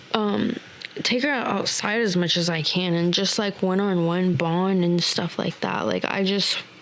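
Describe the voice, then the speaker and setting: A woman with an American accent and a fairly low pitch speaks with ordinary pitch variation over noticeable background noise. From Texas. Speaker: returning podcast guest, young mother. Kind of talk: casual chat. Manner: halting, many fillers.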